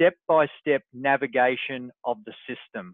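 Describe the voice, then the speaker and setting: A man talks in a normal speaking voice. His pitch is fairly high and his intonation fairly even. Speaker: online business coach. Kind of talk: group webinar walkthrough. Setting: group call with screen share.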